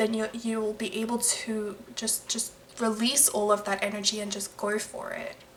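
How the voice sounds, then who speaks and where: The voice moves at a moderate pace with flat, monotone intonation. Background noise is noticeable. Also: woman. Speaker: tarot reader. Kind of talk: tarot reading. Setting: at home late at night, others sleeping. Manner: soft-spoken; halting.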